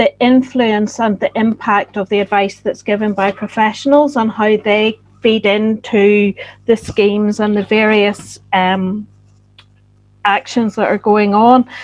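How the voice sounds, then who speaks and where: In a dry, close sound with no echo, a woman with a Northern Irish accent speaks at a fairly slow pace and fairly high pitch with monotone, flat intonation. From Northern Ireland. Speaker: postgraduate researcher. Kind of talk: closing summary at online roundtable.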